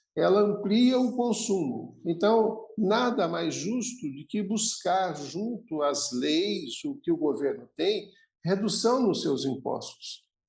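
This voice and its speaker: A man's high voice at a very slow pace, with lively intonation. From Brazil, Santos (São Paulo). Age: 60s. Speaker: logistics executive. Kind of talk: podcast interview.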